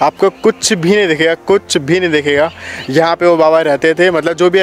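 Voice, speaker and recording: Over faint music in the background, a man with a high voice speaks in fairly even intonation, the sound dry with no echo. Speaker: vlogger host. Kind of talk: casual vlog chat. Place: open country. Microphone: phone near.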